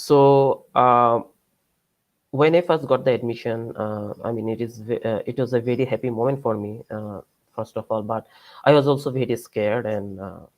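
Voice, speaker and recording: With a Bengali accent, a man talks at a medium pitch. His pace is moderate and his intonation fairly even. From Bangladesh. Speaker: PhD student and researcher. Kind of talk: lecture. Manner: halting, many fillers.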